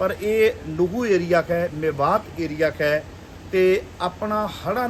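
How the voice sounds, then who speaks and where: In a Punjabi accent, a man speaks at a high pitch with lively intonation over noticeable background noise. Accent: Punjabi-accented Hindi. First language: Punjabi (speaking Hindi). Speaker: preacher and video reporter. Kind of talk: field interview and address to viewers.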